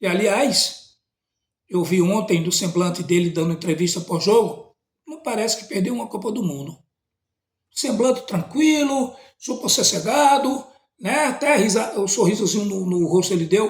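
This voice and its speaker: A man's high-pitched voice at a moderate pace, with lively intonation and long, frequent pauses. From Brazil. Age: 60s. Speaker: teacher and commentator. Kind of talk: post-match opinion monologue. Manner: halting, many repetitions.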